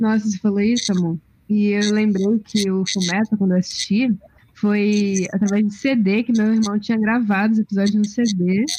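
The tone is dark and mellow, with monotone, flat intonation, a somewhat breathy quality, a moderate pace and very even loudness. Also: woman, medium pitch for a woman. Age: 20s. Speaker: film graduate panelist. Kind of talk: casual chat.

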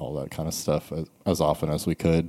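A man's very deep, low voice with an American accent and monotone, flat intonation. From US South, Charleston, South Carolina. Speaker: skate shop owner. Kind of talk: casual chat. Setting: skate shop after hours.

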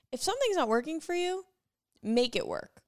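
Speaking with an American accent, this voice moves through very wide pitch swings. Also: woman. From upstate New York. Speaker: podcast guest, host's friend. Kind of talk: casual chat. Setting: at home on a couch, evening.

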